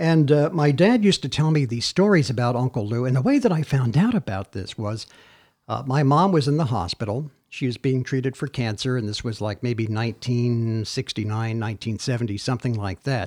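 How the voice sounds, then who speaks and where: A man with an American accent talks at a fairly quick pace with lively intonation. He has an ordinary speaking voice at a medium pitch. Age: 60s. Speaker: podcast host. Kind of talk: casual chat.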